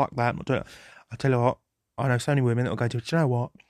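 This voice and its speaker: A man with a British accent at a medium pitch, in a dry, close sound with no echo. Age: 20s. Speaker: podcaster. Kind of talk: solo unscripted ramble. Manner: relaxed, rambling.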